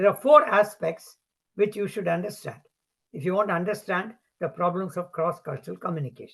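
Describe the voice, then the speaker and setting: Delivered at a fairly quick pace in a Tamil accent, the speech shows ordinary pitch variation. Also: man, high pitch for a man. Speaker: professor. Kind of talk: lecture.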